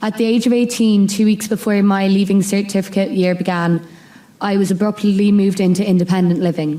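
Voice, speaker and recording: A woman with a western Irish accent, medium pitch, a dark, mellow tone, very even loudness, fairly even intonation, and a fairly quick pace. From Ireland (west: Mayo, Sligo, Clare). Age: 20s. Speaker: student speaker sharing lived experience. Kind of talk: prepared speech / testimony. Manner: reading from a script, some pauses.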